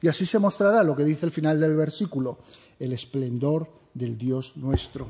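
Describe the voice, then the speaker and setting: Against a quiet background, a man speaks at a moderate pace in a solemn tone with ordinary pitch variation. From Spain. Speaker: preacher. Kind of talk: sermon. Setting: church. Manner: formal, solemn pastoral tone. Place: church. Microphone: podium.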